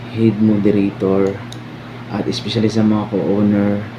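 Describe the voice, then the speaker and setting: Speaking fairly slowly in a fairly low, flat monotone, a man is heard with audible room echo and noticeable background noise. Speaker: online community head moderator. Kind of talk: anniversary thank-you speech.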